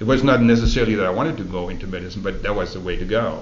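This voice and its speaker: A man with a German accent speaks very fast at a fairly low pitch. Audible room echo and noticeable background noise surround his voice. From Germany. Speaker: oral history interviewee. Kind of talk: oral history interview. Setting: library recording booth.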